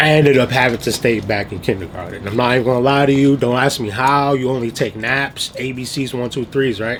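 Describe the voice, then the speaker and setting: A man talks at a fairly quick pace and medium pitch, with hardly any pauses. His intonation is fairly even, and there is noticeable background noise. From Trinidad, moved to US as a child. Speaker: vlogger. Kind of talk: casual storytelling vlog. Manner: casual, filler-heavy.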